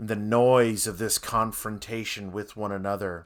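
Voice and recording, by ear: Intonation holds fairly even. What we hear is reading aloud in a natural voice.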